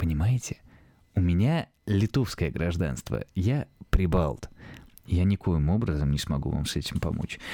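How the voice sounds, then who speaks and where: A man talks in a very deep, low voice at a fairly slow pace. He leaves long, frequent pauses. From Lithuania. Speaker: podcaster. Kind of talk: casual monologue. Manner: audible heavy breathing; hesitant, filler-heavy.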